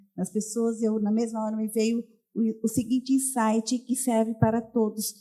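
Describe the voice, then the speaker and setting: With a dark, mellow tone, a woman talks at a moderate pace in a fairly high pitch. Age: 60s. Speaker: physiotherapist and beauty professional in audience. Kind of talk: audience remark at live podcast.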